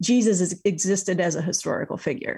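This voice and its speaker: A woman speaks with a US Midwestern accent. Her voice is somewhat breathy. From Iowa, US Midwest. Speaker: author and speaker. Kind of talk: interview.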